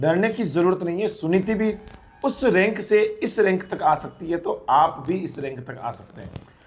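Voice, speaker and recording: Noticeable background noise runs under a man whose high voice has lively intonation. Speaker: nursing exam coaching teacher interviewing toppers. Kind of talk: interview. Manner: animated.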